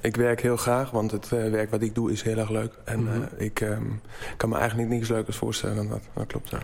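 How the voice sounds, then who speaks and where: Over noticeable background noise, a man with a German accent speaks at a medium pitch in a monotone, flat delivery. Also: fairly quick pace. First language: German (speaking Dutch). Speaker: furniture maker. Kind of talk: interview. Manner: halting.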